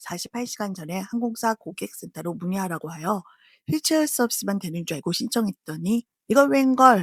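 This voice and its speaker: A woman speaks in a somewhat breathy voice with very wide pitch swings. The recording is very clean, with a silent background. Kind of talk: travel vlog narration. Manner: casual.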